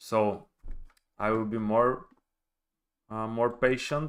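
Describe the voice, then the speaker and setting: At a very slow pace, a man with a Bulgarian accent talks at medium pitch. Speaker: forex trader. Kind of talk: live trading stream. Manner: halting.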